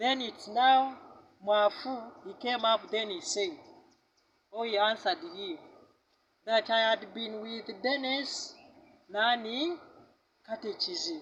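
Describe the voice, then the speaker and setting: Speech in a strong Ugandan accent unfolds at a very slow pace, with long, frequent pauses. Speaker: tour guide. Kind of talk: guided tour storytelling.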